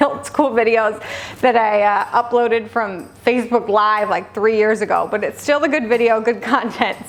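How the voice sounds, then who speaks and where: A woman with a fairly high pitch speaks with music in the background. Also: fairly even intonation, moderate pace. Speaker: registered dietitian and personal trainer. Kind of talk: casual talk to camera.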